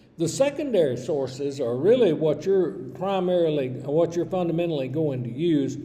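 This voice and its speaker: A man with a Southern US accent speaks at a moderate pace and a fairly high pitch, with ordinary pitch variation. Audible room echo and noticeable background noise are present. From US South, Georgia. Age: 60s. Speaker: college English instructor. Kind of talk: recorded lecture. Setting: recorded virtual classroom video.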